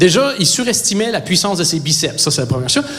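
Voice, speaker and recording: A man in a Quebec accent, very wide pitch swings, audible room echo and noticeable background noise. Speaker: stand-up comedian. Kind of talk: stand-up. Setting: stage with audience.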